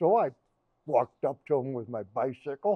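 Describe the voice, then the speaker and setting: Here a man speaks with an American accent. His pitch is medium. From northern Illinois, US Midwest. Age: 80s+. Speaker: local historian speaker. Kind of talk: community talk.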